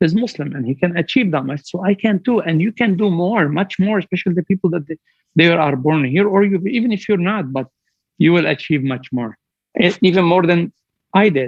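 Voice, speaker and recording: A man with a high-pitched voice talks at a moderate speed, his pitch varying in an ordinary way. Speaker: business executive. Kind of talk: motivational speech.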